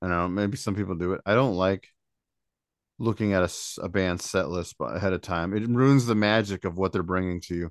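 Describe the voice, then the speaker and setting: A man's very deep, low voice with an American accent, at a fairly quick pace with ordinary pitch variation, in a dry, close sound with no echo over a quiet background. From Indiana. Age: 40s. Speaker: podcast co-host. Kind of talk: casual chat.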